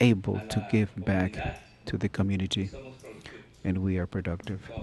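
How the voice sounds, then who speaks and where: With a non-native accent, a man speaks at a moderate pace in a monotone, flat intonation. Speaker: police officer and adult school teacher. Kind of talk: testimony at a town hall. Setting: public town hall meeting in a school cafeteria.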